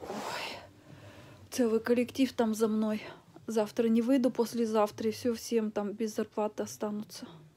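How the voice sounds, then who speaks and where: With light noise in the background, a woman speaks at a fairly slow pace in a flat, monotone way. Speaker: vlogger. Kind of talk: casual vlog chat.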